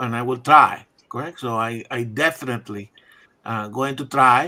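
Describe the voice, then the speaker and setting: A man's bright, sharp tone at a fairly slow pace, with ordinary pitch variation. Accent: non-native. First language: not English. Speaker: livestream co-host. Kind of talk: casual group chat on livestream. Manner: halting, repetitive.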